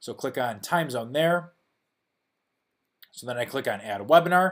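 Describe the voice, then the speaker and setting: A man with a Chicago accent speaks at fairly high pitch, with ordinary pitch variation. The recording is very clean, with a silent background. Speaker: software founder. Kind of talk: tutorial. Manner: casual, many fillers.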